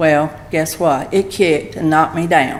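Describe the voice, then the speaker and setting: Speaking in a Southern US accent, a woman with a fairly low pitch is heard amid noticeable background noise and audible room echo. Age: 70s. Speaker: pastor's wife. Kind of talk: testimony. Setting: church.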